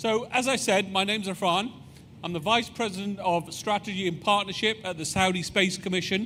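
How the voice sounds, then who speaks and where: A man's raised, projected voice in a British accent, high in pitch with a bright, sharp tone, fairly quick, with fairly even intonation. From United Kingdom. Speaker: space agency executive. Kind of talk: public presentation.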